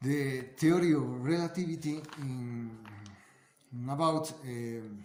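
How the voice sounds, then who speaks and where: Very slow speech from a man with a fairly high pitch and ordinary pitch variation, amid audible room echo. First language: Spanish. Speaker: amateur science video maker. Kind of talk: casual explanatory monologue. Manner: halting, many fillers and repetitions.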